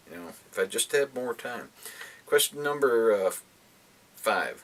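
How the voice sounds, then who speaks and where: A man talks at a fairly slow pace with big swings in loudness. There is noticeable background noise. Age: 50s. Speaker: book vlogger. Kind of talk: casual chat. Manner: halting.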